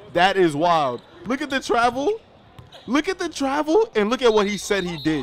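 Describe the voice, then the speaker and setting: The voice is animated, with very wide pitch swings at a moderate pace. Noticeable background noise runs underneath. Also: man, high pitch for a man. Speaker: sports commentator. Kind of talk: live sports commentary, reacting to a basketball game. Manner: animated, casual, talking to the audience.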